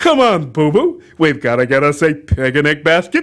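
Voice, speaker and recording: A put-on character voice from a man, fairly high in pitch, at a moderate pace. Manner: folksy, coaxing.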